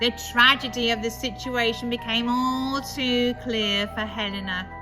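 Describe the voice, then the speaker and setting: Very slowly, a woman speaks over music in the background. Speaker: storyteller. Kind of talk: ghost story reading.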